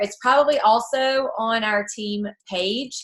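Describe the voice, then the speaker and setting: A loud, bright, sharp voice at a very slow pace with fairly even intonation. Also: woman. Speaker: team leader for a direct sales group. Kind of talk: team call training talk.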